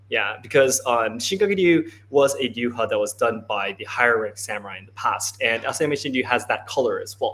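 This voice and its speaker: Spoken with a Japanese accent, the words come at a fairly quick pace with hardly any pauses. The loudness swings widely. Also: man. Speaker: martial arts interpreter and livestream host. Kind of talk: live stream Q&A interpreting. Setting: livestream from a hot dojo.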